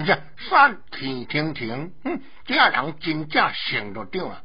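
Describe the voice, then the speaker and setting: A man performs in a cartoonish character voice. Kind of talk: comic puppet-theatre voice. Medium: audio drama. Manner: loud, blustering, coarse, easily scared.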